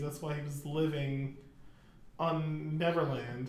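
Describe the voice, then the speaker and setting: Amid noticeable background noise and audible room echo, a man with a fairly high pitch speaks at a fairly slow pace in monotone, flat intonation. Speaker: podcast guest, friend of host. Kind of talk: casual chat. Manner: laughs often.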